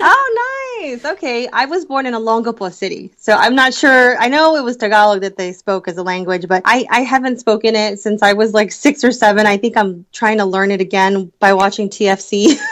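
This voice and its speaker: A woman's ordinary speaking voice, fairly high in pitch with ordinary pitch variation, at a fairly quick pace with hardly any pauses. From United States (moved from Philippines at five). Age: 30s. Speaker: corporate recruiter and fashion blogger. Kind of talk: podcast interview.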